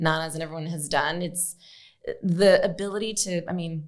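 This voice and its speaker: Fairly low in pitch, a woman talks at a moderate pace with fairly even intonation. She has a normal speaking voice. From Arizona, Phoenix. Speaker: podcast host. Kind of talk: podcast interview.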